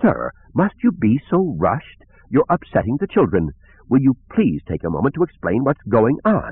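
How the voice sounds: Putting on a character voice, a man speaks at a moderate pace and medium pitch with very wide pitch swings and a slightly husky edge, in a dry, close sound with no echo.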